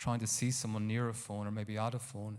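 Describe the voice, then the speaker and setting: Speaking at a moderate pace, a man with an Irish accent has a medium pitch and a dark, mellow tone. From Ireland, County Carlow. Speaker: photographer. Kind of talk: talk to a live audience. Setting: stage with audience. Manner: halting.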